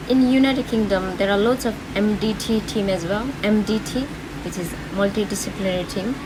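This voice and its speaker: At a fairly quick pace and medium pitch, a woman talks with fairly even intonation, with audible room echo and noticeable background noise. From Nepal. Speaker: nurse. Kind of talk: tutorial vlog. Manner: casual, with many fillers.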